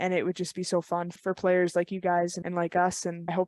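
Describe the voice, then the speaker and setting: Fairly quick and fairly low-pitched, a woman's voice comes through dry and close with no echo. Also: very clean recording, silent background. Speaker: podcast co-host; baseball player. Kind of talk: casual podcast conversation.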